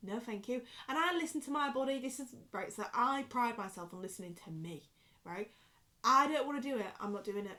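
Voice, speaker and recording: Bright and sharp in tone, a woman with a Yorkshire accent speaks at a fairly quick pace in a high pitch, with lively intonation and an animated tone. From Yorkshire, northern England. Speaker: vlogger. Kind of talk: casual chat. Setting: bedroom. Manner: drops words, clipped pronunciation.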